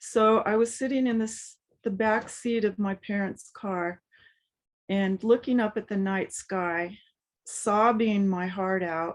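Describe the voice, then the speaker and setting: In an American accent, a woman of medium pitch speaks at a very slow pace. Her intonation stays fairly even against a quiet background. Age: 70s. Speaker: spiritual speaker. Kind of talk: personal testimony talk. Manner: halting, many fillers.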